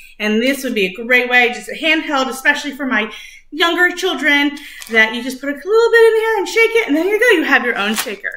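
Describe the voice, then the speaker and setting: Her voice raised and projected, a woman speaks at a fairly quick pace amid audible room echo. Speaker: music teacher. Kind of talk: lesson for young children. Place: kitchen. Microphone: webcam.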